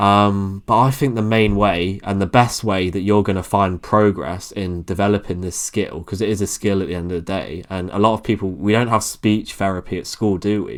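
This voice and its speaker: A man with an English accent talks at a moderate pace in a fairly low pitch, with hardly any pauses. His intonation is fairly even, and the recording is very clean with a silent background. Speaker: YouTuber and coach. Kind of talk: casual talk to camera. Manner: monotone.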